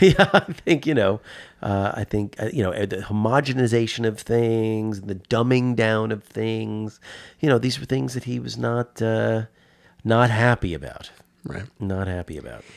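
Recorded very cleanly against a silent background, a man speaks with a New York accent. His medium-pitched voice moves at a fairly slow pace with ordinary pitch variation. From New York (Westchester, born in the Bronx). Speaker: comic shop customer. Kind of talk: casual chat. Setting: studio. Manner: halting, many fillers and repeats.

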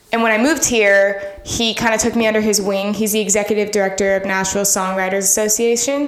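With an American accent, a woman talks at a very fast pace with hardly any pauses, medium pitch, fairly even intonation and very even loudness, amid noticeable background noise and audible room echo. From Florida (Miami, then St. Augustine). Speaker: singer-songwriter. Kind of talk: casual interview.

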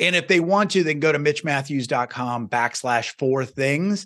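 With an energetic tone and lively intonation, a man speaks at a fairly high pitch. His pace is fairly quick, over a quiet background. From US Midwest, small-town Iowa. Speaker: success coach and podcaster. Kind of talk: podcast interview.

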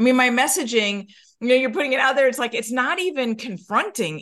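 Against a quiet background, a woman with an American accent speaks in a high pitch. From New York. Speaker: mortgage loan officer. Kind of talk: interview conversation.

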